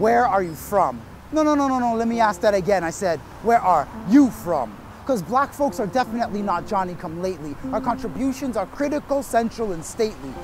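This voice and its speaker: The voice swings very widely in pitch at a fairly quick pace. Noticeable background noise runs underneath. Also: man, high pitch for a man. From Canada, Toronto. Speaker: spoken word poet. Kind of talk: spoken word performance. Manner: rhythmic.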